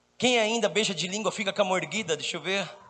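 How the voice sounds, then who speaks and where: With noticeable background noise behind him, a man talks using ordinary pitch variation. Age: 40s. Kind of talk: charismatic sermon. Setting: stage with audience. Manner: animated.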